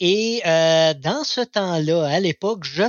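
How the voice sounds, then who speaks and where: A man with a high-pitched voice uses lively intonation and speaks at a very slow pace. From Quebec, Abitibi. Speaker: community radio host. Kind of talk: casual chat. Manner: halting, repeats words.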